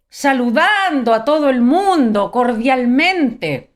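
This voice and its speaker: A woman with a Chilean accent speaks with lively intonation. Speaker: preacher. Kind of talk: sermon. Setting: live stream.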